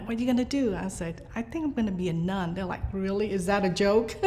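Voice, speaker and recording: A woman talks at a fairly quick pace with ordinary pitch variation, and audible room echo surrounds her voice. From Vietnam, raised in Biloxi, Mississippi. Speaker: nun and preschool teacher. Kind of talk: interview. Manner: hesitant, many fillers.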